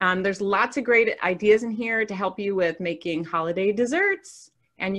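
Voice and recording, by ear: Someone is reading aloud in a natural voice with ordinary pitch variation. The background stays quiet.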